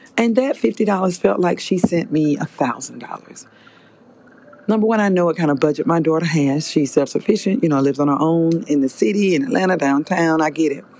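Noticeable background noise sits behind a woman with a fairly low pitch. She speaks at a moderate pace with an animated tone and lively intonation. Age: 50s. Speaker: podcast host. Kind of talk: solo podcast monologue.

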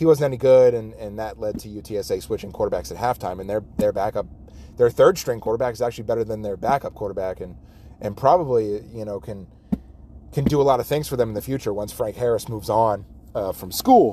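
With an American accent, this man has a medium pitch and a dark, mellow tone. He talks at a very fast pace with ordinary pitch variation. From Las Vegas, US West. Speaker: sports podcast host. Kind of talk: casual solo commentary. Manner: halting, many fillers.

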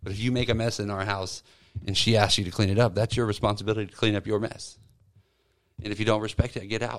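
Delivering his words at a very fast pace, a man keeps a fairly low pitch and a monotone, flat intonation. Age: 30s. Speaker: retail assistant manager. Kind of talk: casual chat.

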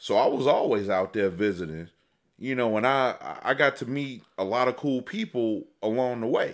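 A man with an American accent speaks at a moderate pace and medium pitch, on a very clean recording with a silent background. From Chicago, South Side. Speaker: podcast co-host. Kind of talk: casual chat. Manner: laid-back.

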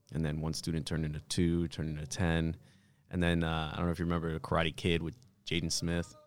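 In an American accent, a man talks at a very fast pace with a very deep, low pitch and monotone, flat intonation. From New York (Bronx), later New Jersey. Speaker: martial arts instructor and military veteran. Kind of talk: casual interview.

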